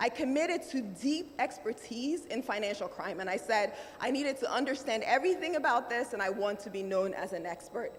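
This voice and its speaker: Over noticeable background noise, a woman talks at a fairly quick pace with hardly any pauses. Her high pitch swings very widely. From Nigeria. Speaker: banking executive and summit speaker. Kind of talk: keynote speech.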